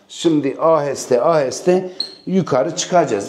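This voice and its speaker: A man's fairly high voice with ordinary pitch variation at a moderate pace, amid noticeable background noise and audible room echo. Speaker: real estate agent. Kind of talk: property tour. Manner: casual, chatty.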